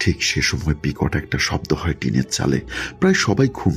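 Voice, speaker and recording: A man's very deep, low voice amid noticeable background noise. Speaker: radio-style horror story narrator. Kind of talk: reading a listener's letter as a story.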